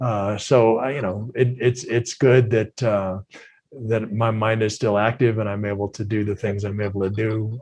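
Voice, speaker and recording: With an American accent, a somewhat breathy man speaks at a moderate pace in a fairly low pitch with monotone, flat intonation. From Minnesota, US Midwest. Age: 60s. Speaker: retired football player. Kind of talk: casual interview.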